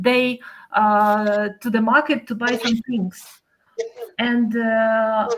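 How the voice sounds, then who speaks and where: A woman with a Ukrainian accent speaks at a very slow pace in a fairly high pitch with monotone, flat intonation. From Ukraine. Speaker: language course student. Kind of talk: casual chat. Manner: halting, many fillers.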